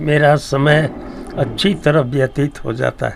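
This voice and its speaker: A man with a fairly high pitch speaks in a monotone, flat way over noticeable background noise. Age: 80s+. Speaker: retired teacher. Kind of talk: interview.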